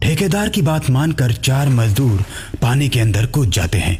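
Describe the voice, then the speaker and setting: Over clear background noise, a man does a cartoonish character voice at a moderate pace. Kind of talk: horror narration.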